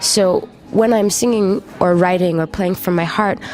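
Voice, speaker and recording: A woman with a Canadian accent speaks at a moderate pace. Noticeable background noise runs underneath. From western Canada (British Columbia). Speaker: singer-songwriter. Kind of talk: interview. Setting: interview in Paris.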